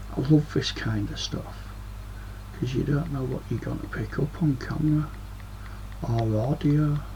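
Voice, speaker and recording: Speaking at a fairly slow pace with long, frequent pauses, a man is heard with audible room echo and noticeable background noise. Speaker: paranormal video creator. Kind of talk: casual paranormal investigation monologue. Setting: bedroom, webcam recording.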